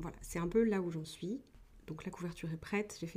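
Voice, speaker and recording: A dark, mellow tone at a fairly quick pace. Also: woman. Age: 20s. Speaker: podcast host, author and script doctor. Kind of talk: casual solo podcast talk. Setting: at home, wrapped in a blanket.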